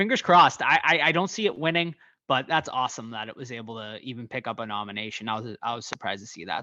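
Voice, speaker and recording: A man talking at a very fast pace, lively intonation, bright and sharp tone, quiet background. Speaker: podcast host, horror news. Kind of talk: casual podcast news segment. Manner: animated.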